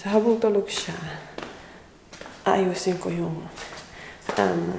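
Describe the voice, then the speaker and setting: A woman's very slow speech amid noticeable background noise and audible room echo. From Philippines. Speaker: vlogger. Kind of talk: casual vlog narration. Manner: lowered voice.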